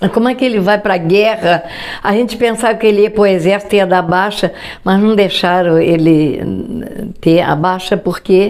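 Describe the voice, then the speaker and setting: A woman's medium-pitched voice with ordinary pitch variation amid noticeable background noise. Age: 80s+. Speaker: grandmother. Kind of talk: interview answer. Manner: storytelling, reminiscing.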